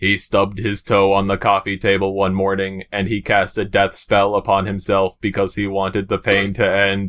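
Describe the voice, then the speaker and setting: A man's put-on character voice, fairly low and deadpan, monotone and flat, at a moderate pace with hardly any pauses. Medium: read story. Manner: monotone, formal, deadpan.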